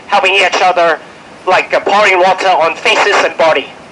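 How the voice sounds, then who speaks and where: Moderate pace against noticeable background noise. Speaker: finance worker speaking at protest press conference. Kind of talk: press conference statement. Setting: press conference. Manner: impassioned, urging.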